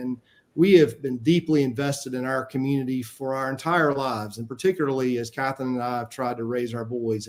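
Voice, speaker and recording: With fairly even intonation, a man talks in a Southern US accent. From US South, Spartanburg, South Carolina. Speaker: city council member, candidate. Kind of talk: candidate forum opening statement. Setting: virtual forum, video call.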